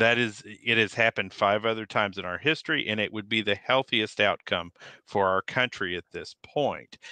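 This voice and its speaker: A normal speaking voice from a man with an American accent, fairly low in pitch, at a moderate pace, with ordinary pitch variation. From outside Nebraska, US. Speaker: firearms and advocacy channel creator. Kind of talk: political panel discussion.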